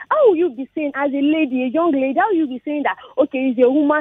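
The sound is dry with no echo against a quiet background. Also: woman. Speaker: radio caller. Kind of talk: radio call-in opinion. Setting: phone call. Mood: earnest, somewhat upset. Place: studio.

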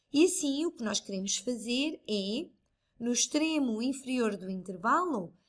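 Speaking at a fairly slow pace in a European Portuguese accent, a woman with a high pitch makes very wide pitch swings. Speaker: math tutor. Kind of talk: tutorial.

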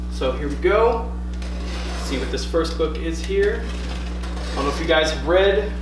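Audible room echo and noticeable background noise surround a man who talks at a fairly slow pace. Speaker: comic shop owner or staff. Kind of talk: casual product unboxing video. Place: shop. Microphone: camera far.

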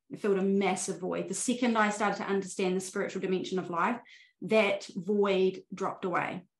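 A woman talks at a fairly quick pace with fairly even intonation, in a room with audible echo and a quiet background. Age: 40s. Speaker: spiritual life coach. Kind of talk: interview conversation. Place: home room. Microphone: video call.

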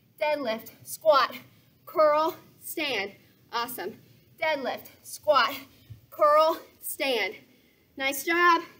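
A woman's raised, projected, bright and sharp voice with lively intonation, at a very slow pace with long, frequent pauses. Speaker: fitness instructor. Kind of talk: workout instruction and cueing. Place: garden.

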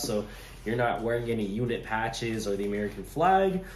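Audible room echo and light background noise around a male voice. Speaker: gear reviewer. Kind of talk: casual gear review to camera. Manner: casual, hesitant with many fillers. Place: kitchen. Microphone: phone near.

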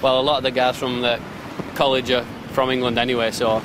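Against clear background noise, a man talks at a fairly quick pace and medium pitch, with little pitch movement.

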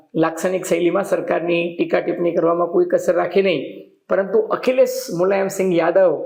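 A man speaks in a high pitch with monotone, flat intonation and very even loudness. Noticeable background noise runs underneath. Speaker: journalist and political commentator. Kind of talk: news analysis monologue.

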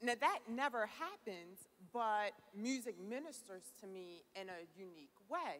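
A woman speaks at a fairly slow pace with a medium pitch. Her intonation is lively and her tone fairly bright.

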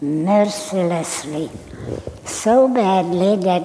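The voice belongs to a woman. Its pitch rises and falls in an ordinary way. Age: 80s+. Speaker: Holocaust survivor. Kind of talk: personal testimony to live audience. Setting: auditorium stage. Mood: calm, somber recounting. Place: stage.

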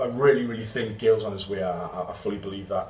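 There is audible room echo and noticeable background noise as a man speaks with a Geordie accent. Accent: Geordie (Newcastle) English. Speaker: football fan channel host. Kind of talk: match report to camera. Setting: outdoors in Porto after the match. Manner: halting, many fillers.

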